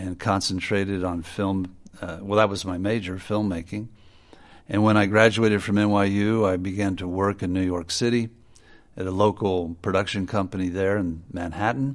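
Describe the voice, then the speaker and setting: Against a quiet background, a man in a normal speaking voice talks at a moderate pace, fairly low in pitch with fairly even intonation. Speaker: filmmaker. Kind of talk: interview.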